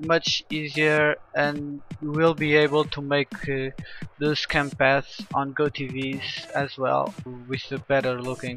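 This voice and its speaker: Over music in the background, a man with a non-native accent speaks very slowly in a fairly high voice with monotone, flat intonation. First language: not English. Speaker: game video editor. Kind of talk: software tutorial voice-over. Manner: hesitant, halting.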